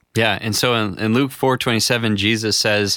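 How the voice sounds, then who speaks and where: Recorded very cleanly with a silent background, a man with an Upper Midwestern American accent talks at a moderate pace and medium pitch, his intonation fairly even. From US upper Midwest. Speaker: pastor. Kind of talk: reading aloud.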